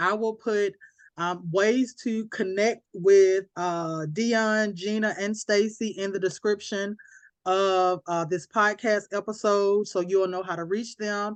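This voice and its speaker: Speaking with a Southern accent, a woman uses a medium pitch and fairly even intonation. Her pace is very slow, against a quiet background. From US South, Alabama. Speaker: podcast host. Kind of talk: casual chat. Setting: podcast recording.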